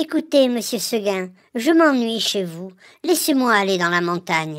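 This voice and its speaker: A put-on character voice, female-sounding and medium in pitch, at a moderate pace on a very clean recording with a silent background. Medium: read story. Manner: gentle, polite, insistent.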